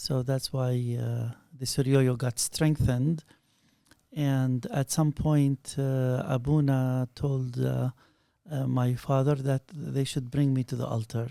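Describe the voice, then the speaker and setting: A man's dark, mellow voice at a very slow pace with monotone, flat intonation. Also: medium pitch for a man. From Palestine (Bethlehem). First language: Arabic. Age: 50s. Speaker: scholar of Syriac studies. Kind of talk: interview, life story.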